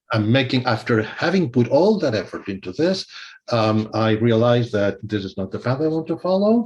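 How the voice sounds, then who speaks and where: A man speaks in a medium pitch at a moderate pace. His voice is somewhat breathy, with lively intonation. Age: 60s. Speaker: music theory professor and composer. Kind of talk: interview. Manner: hesitant, many fillers.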